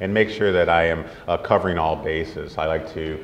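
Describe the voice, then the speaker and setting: A man's very deep, low voice with ordinary pitch variation, audible room echo and noticeable background noise. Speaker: orthopedic surgeon. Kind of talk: lecture. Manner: fast; soft-spoken.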